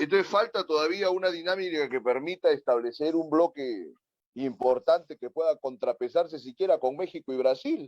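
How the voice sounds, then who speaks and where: With a normal speaking voice pitched fairly high, a man talks at a moderate pace with ordinary pitch variation, the sound dry and close with no echo. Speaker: political talk show host. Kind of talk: political interview discussion.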